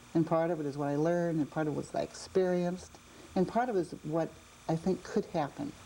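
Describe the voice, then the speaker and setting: At a very fast pace, a woman with a fairly low pitch and ordinary pitch variation speaks over noticeable background noise. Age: 60s. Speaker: education executive director. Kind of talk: interview.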